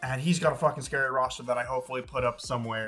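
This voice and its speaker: Music can be heard in the background. The talking goes by at a very fast pace. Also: man. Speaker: Pokemon content creator. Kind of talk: casual gaming commentary. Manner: animated.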